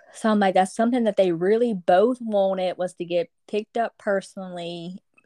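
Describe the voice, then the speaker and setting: Lively intonation runs through a woman's dark, mellow tone, recorded with a dry, close sound, no echo and a quiet background. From Louisiana. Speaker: travel agent. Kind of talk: casual chat.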